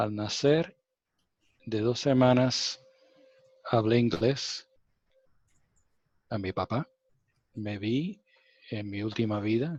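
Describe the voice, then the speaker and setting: A man with a non-native accent talks at a very slow pace, using long, frequent pauses. His pitch is medium, with ordinary pitch variation. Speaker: spiritual contactee. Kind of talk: interview testimony. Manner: halting.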